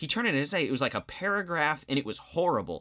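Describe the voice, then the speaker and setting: The speech comes at a very fast pace with an American accent and a bright, sharp tone. The recording is very clean, the background silent. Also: man. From various places, military family. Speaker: social studies teacher, podcast co-host. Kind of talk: scripted educational podcast.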